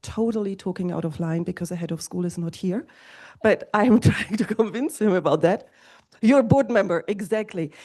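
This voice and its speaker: Against a quiet background, a woman talks at a medium pitch and a moderate pace, with a dark, mellow tone and ordinary pitch variation. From Germany. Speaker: school representative. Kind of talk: panel discussion.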